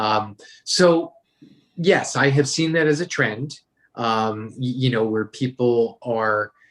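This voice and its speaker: In an ordinary speaking voice, a man with an American accent and a medium pitch speaks with lively intonation. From New York. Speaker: author and brand consultant. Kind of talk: interview.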